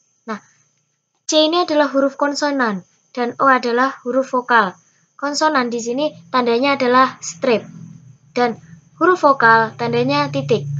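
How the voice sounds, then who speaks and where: A woman speaks in a high pitch. Her delivery has long, frequent pauses. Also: ordinary pitch variation, moderate pace. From Indonesia. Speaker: scout instructor. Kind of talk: tutorial. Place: home room. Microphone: webcam.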